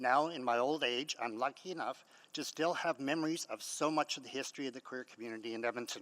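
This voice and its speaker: Fairly quick speech comes from a man with a bright, sharp tone and ordinary pitch variation. The sound is dry and close, without echo. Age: 60s. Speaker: community historian and nonprofit founder. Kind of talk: public hearing submission, prepared statement. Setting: city council chamber.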